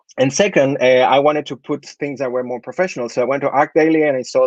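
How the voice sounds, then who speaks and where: A man speaks very fast with a Spanish accent, his pitch fairly high. The sound is dry and close, with no echo. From Chile. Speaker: architect. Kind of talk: presentation. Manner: hesitant, with fillers.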